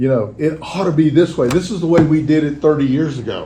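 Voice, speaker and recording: An American accent at a fairly quick pace, with ordinary pitch variation and audible room echo. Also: man. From Texas. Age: 70s. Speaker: recovering alcoholic speaker. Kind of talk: recovery talk. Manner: halting.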